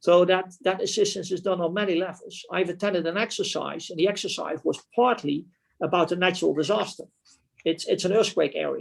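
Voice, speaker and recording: Delivered at a fairly quick pace, the speech carries a Dutch accent and fairly even intonation. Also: man, high pitch for a man. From Netherlands. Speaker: retiring military officer. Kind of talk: club talk presentation.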